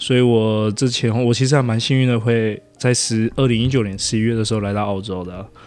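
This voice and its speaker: A man's medium-pitched voice, fairly even in intonation, with hardly any pauses. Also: fairly quick pace. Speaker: podcast guest, working holiday resident. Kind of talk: casual chat.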